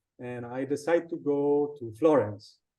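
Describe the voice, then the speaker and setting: The voice has a dark, mellow tone and an Italian accent. It moves at a moderate pace with ordinary pitch variation. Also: man. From Sardinia, Italy. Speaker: designer and illustrator. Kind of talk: casual interview. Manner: halting, many repetitions.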